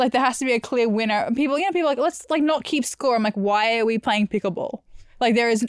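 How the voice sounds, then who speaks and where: A woman with an Australian accent speaks at a very fast pace, her fairly high voice moving in lively intonation. The recording is very clean with a silent background, and the sound is dry and close with no echo. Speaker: podcast host. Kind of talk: casual chat.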